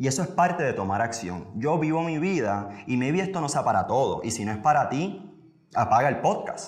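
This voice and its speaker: A man's fairly high voice swings very widely in pitch at a moderate pace, with vocal fry. Room echo is audible. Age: 20s. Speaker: podcast host and motivational speaker. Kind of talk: motivational monologue.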